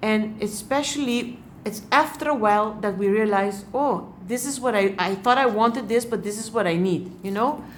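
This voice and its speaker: With a non-native accent, a woman talks at a fairly high pitch and a moderate pace, using ordinary pitch variation and hardly any pauses. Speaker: hypno-regression therapist and life coach. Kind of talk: tarot reading to camera. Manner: hesitant, frequent pauses and fillers.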